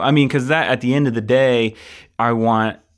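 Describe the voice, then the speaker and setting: Over a very clean recording with a silent background, a man with an American accent and an unremarkable speaking voice talks at medium pitch with fairly even intonation. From Michigan. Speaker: film editor. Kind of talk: casual chat.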